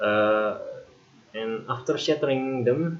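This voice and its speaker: Speaking at a fairly slow pace, a man talks with an Indonesian accent. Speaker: gaming youtuber. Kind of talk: tutorial. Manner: hesitant with fillers.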